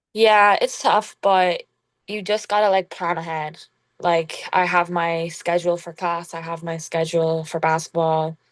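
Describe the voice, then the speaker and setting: In an American accent, a woman speaks at a fairly slow pace with monotone, flat intonation against a quiet background. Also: fairly low pitch for a woman. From Ireland, Kilkenny. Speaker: college basketball player. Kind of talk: podcast interview.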